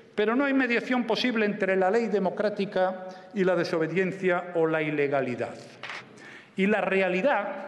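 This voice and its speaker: A man's high-pitched voice moves along fairly slowly. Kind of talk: formal parliamentary speech. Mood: firm, measured. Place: hall. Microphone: podium.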